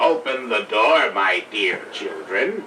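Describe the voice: A man's put-on character voice at medium pitch over clear background noise. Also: fairly slow pace.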